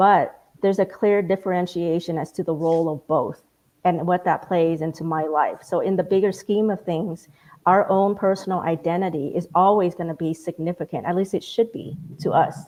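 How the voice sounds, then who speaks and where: A woman's fairly low-pitched voice with fairly even intonation. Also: moderate pace. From Vietnamese family, grew up speaking Vietnamese at home. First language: Vietnamese. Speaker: community panelist. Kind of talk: panel discussion.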